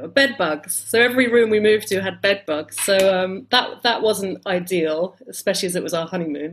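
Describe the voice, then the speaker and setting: A woman's medium-pitched voice at a fairly quick pace with hardly any pauses. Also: ordinary pitch variation. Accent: southern English. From London, England. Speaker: travel writer and editor. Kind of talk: interview. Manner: hesitant, with fillers.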